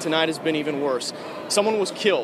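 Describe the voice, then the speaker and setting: Noticeable background noise runs under the recording. A man talks at a high pitch. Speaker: TV news reporter. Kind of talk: live news field reporting. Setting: outdoors on location. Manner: urgent, shouting at times.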